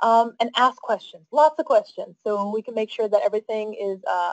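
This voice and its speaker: A fairly high-pitched woman talks at a moderate pace in a normal speaking voice. The sound is dry and close, with no echo. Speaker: council staff presenter. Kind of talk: webinar presentation.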